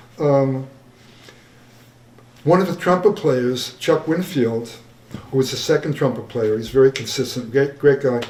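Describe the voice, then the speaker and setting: A man's fairly high-pitched voice at a moderate pace, with ordinary pitch variation, long, frequent pauses, audible room echo and noticeable background noise. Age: 70s. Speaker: jazz musician and arranger. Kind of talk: Q&A after screening. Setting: stage with audience in theatre. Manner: halting.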